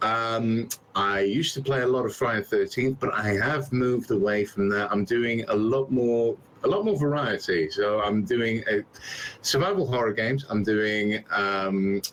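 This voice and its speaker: Keeping his loudness very even, a man speaks at medium pitch with ordinary pitch variation in a West Midlands accent. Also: moderate pace. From England, West Midlands. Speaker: game streamer. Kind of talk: casual interview chat.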